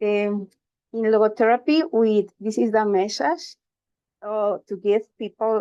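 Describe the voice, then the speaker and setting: A woman talks with a Spanish accent. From Costa Rica. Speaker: logotherapist, conference speaker. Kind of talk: conference presentation. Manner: halting, hesitant.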